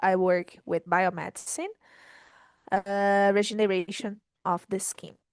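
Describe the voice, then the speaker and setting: In a Portuguese accent, a woman speaks very slowly at a medium pitch with fairly even intonation, the sound dry and close with no echo over a quiet background. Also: big swings in loudness. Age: 20s. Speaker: conversation group host. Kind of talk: casual chat.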